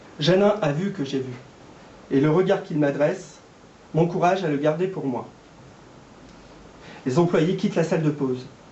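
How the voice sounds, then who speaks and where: Over noticeable background noise, a man with a fairly high pitch talks at a moderate pace, using ordinary pitch variation and long, frequent pauses. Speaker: amateur reader / actor taking part in a public reading. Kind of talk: literary reading aloud of a novel, shared between three readers.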